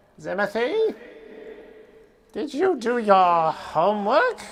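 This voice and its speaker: The voice is a put-on character, pitched fairly high. Its delivery is fairly slow. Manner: nagging, singsong.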